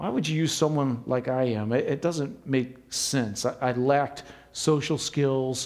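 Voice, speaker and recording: A man has a normal speaking voice at medium pitch. He goes at a fairly slow pace with fairly even intonation. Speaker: pastor. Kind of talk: sermon.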